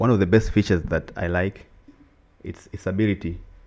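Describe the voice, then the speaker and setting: Here a man speaks with an East African accent. His voice is very deep and low, and his pace is fairly quick. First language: Swahili. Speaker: podcast co-host. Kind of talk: casual chat. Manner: animated.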